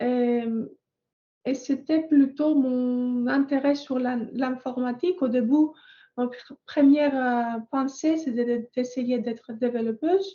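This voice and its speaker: A woman with a Greek accent speaks at a very slow pace, her high voice dark and mellow in tone. Her intonation stays fairly even. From Greece. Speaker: software test engineer. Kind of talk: panel testimony. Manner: halting, many hesitations.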